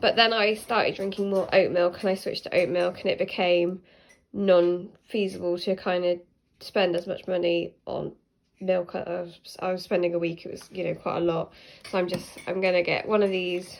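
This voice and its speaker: With an English accent, a woman speaks at a moderate pace in a medium pitch, her intonation monotone and flat. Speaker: vlogger. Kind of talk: casual vlog narration. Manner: stuttering at times.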